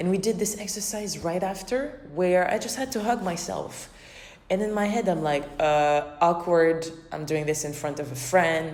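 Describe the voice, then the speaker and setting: Over noticeable background noise, a woman speaks slowly with lively intonation. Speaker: dance choreographer and podcaster. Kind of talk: casual reflective podcast talk.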